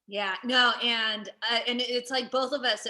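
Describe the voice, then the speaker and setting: A woman with a high pitch speaks at a fairly slow pace in monotone, flat intonation. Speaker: comedian. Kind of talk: casual chat. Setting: in person at a museum with remote guest.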